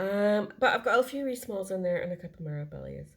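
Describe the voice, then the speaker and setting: A woman talks with a Scottish accent and a somewhat breathy voice. Her pitch varies in an ordinary way. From Scotland. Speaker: cross-stitch video creator. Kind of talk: casual show-and-tell vlog. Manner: fast.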